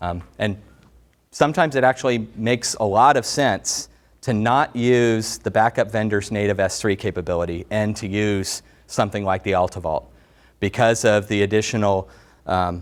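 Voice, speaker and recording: A man with a plain, everyday voice talks at a moderate pace, his pitch fairly low with ordinary pitch variation. The recording is very clean, with a silent background. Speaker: tech company director presenting product. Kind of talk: technical product presentation. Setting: presentation room with audience.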